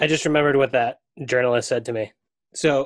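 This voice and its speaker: Spoken at a very fast pace in an American accent with fairly even intonation, the clip has a dry, close sound with no echo. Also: man, quiet background. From US Northeast (Maine). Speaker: soccer podcast host. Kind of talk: casual chat.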